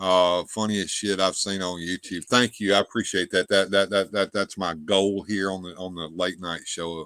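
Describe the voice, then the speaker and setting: A man speaks at a moderate pace in a very deep, low, flat monotone with a bright, sharp tone, hardly pausing, and the sound is dry and close with no echo. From US South. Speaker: livestream show host. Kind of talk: casual chat. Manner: halting, repetitive.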